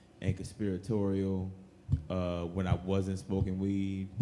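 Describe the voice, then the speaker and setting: In a room with audible echo, a man with a very deep, low pitch and a dark, mellow tone speaks very slowly in a monotone, flat delivery. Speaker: comedian podcast co-host. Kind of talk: live comedy podcast banter. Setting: stage with live audience.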